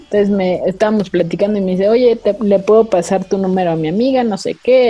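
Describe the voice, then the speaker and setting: At a fairly quick pace, a woman speaks at medium pitch with music in the background. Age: 20s. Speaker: podcast host. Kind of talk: casual chat.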